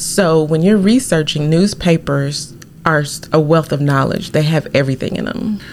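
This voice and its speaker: A woman speaks at a moderate pace with a very deep, low pitch and ordinary pitch variation. Background noise is noticeable. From Arkansas. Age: 40s. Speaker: genealogy blogger. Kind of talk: casual interview.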